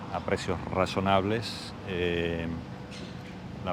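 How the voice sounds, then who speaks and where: A man speaks with an Argentine accent in a very deep, low pitch and fairly even intonation. Audible room echo and noticeable background noise fill the recording. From Argentina. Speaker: piano tuner, emigrant interviewee. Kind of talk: interview.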